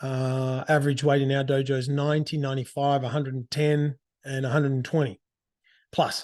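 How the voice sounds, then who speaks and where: Against a quiet background, a man in an Australian accent speaks at a fairly high pitch with monotone, flat intonation. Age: 40s. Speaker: karate teacher and podcast host. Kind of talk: casual monologue. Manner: halting, many restarts.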